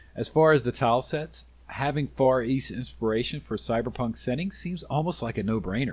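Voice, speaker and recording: A man's medium-pitched voice with vocal fry, ordinary pitch variation, a fairly quick pace and hardly any pauses. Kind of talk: game review narration.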